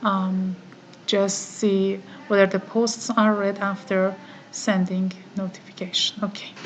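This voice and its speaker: Speaking in an Iranian accent at a fairly slow pace, a woman with medium pitch uses monotone, flat intonation and long, frequent pauses over noticeable background noise. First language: Farsi. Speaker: online course participant. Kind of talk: screen-recorded tutorial. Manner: halting, many fillers.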